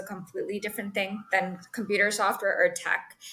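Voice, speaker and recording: Bright and sharp in tone, a woman of medium pitch talks at a fairly quick pace. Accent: Spanish. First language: Spanish. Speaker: sales executive. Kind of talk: interview. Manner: animated.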